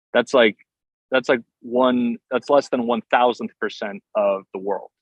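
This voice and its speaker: With an American accent, a man uses an ordinary speaking voice at a medium pitch, speaking at a fairly slow pace with ordinary pitch variation in a dry, close sound with no echo. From southeast Pennsylvania, US. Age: 30s. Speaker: steel guitarist. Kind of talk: podcast interview. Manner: casual, many fillers and restarts.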